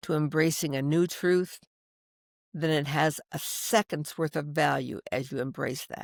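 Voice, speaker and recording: With an American accent, a woman speaks at a fairly slow pace in a very deep, low pitch with ordinary pitch variation, the recording very clean with a silent background and the sound dry and close with no echo. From US Midwest (Iowa). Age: 70s. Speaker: podcast host. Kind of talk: interview conversation.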